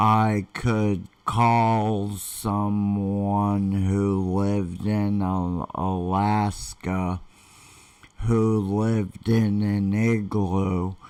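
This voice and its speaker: Against a quiet background, a man with a fairly low voice talks very slowly in a flat monotone. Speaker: online marketer; vlogger telling his life story. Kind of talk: live stream talk. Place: home room. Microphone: webcam.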